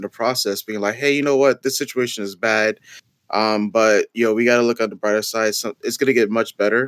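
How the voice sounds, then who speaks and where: Using a normal speaking voice with an American accent, a man speaks at a medium pitch with fairly even intonation. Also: dry, close sound with no echo. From US Northeast (Bronx, New York). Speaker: event planner and YouTuber. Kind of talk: casual chat.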